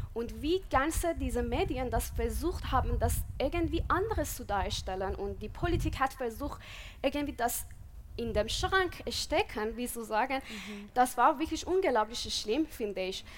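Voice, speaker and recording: A woman speaks with a Persian accent. Her pace is moderate. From Iran. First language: Persian (speaking German). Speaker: podcast co-host. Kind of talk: live panel discussion. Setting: stage with audience outdoors.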